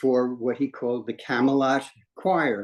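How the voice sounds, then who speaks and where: Speaking at a fairly slow pace, a man with a New York accent uses a medium-pitched voice. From New York City, Washington Heights. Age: 80s+. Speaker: retired singer and street performer. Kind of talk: life story testimony in a group conversation. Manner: halting, many fillers and repetitions.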